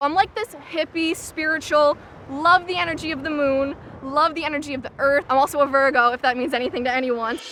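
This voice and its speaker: A woman's raised, projected voice has a high pitch and ordinary pitch variation at a fairly quick pace. Noticeable background noise comes through. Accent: American. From Boston area. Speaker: reality show contestant. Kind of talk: casting interview.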